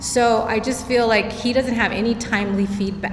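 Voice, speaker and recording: A woman with a fairly high pitch speaks at a moderate pace with ordinary pitch variation. Noticeable background noise and audible room echo are present. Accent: Spanish. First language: Spanish. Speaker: parent. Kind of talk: question from the audience.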